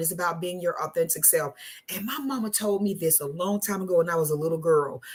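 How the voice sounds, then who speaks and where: A woman's animated, fairly quick delivery with lively intonation over noticeable background noise. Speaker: talk show host. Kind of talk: casual chat. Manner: loud.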